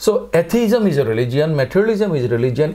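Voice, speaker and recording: In a dark, mellow tone with vocal fry, the voice moves at a moderate pace with very wide pitch swings. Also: man. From Chittagong, Bangladesh. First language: Bengali. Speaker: philosophy professor. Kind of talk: interview answer. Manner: hesitant, extempore.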